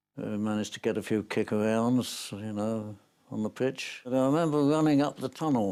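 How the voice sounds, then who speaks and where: This man has a dark, mellow tone at medium pitch with fairly even intonation and a moderate pace. The recording is very clean with a silent background. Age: 90s. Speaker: football fan and war veteran. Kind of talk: interview reminiscence. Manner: halting, with hesitations.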